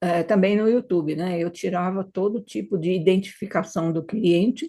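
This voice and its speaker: A woman's dark, mellow tone at medium pitch, fairly slow, with ordinary pitch variation. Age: 70s. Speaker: retired hypnotherapist. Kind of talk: interview.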